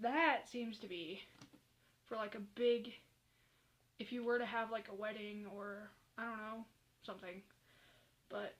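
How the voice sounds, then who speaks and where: A woman is talking. Her delivery moves at a fairly slow pace. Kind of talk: casual hair tutorial talk to camera. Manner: rambling.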